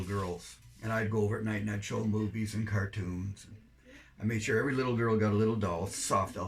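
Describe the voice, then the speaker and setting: In a Canadian accent, a man speaks fairly quickly in a fairly low, somewhat breathy voice. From Canada. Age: 70s. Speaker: volunteer overseas missionary. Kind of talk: interview.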